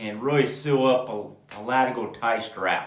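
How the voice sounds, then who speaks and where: Amid audible room echo, a man speaks very slowly with ordinary pitch variation. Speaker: horseman and tack educator. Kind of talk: tutorial. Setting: indoors at home. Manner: casual, hesitant with fillers.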